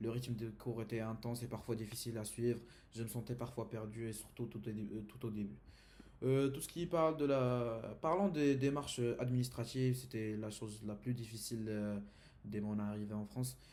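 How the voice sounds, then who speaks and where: A man speaks with an Arabic accent at a moderate pace, his medium pitch showing ordinary variation and a dark, mellow tone. Audible room echo is present. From Saudi Arabia. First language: Arabic (speaking French). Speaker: university student. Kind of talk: class presentation. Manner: halting, many hesitations.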